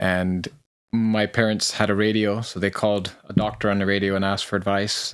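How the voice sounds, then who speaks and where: A man's flat, monotone voice on a very clean recording with a silent background. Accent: Canadian. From Papua highlands. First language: Yali. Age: 50s. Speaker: former police officer. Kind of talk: interview storytelling. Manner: hesitant, many fillers.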